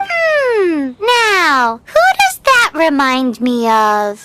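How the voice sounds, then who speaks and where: This put-on character voice is high and squeaky, with very wide pitch swings. It moves at a very slow pace. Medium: video game.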